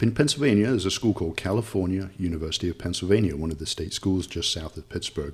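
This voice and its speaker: A man's very deep, low, somewhat breathy voice at a very fast pace, lively in intonation, with hardly any pauses. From England, Nottingham. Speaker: local government official. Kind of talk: interview.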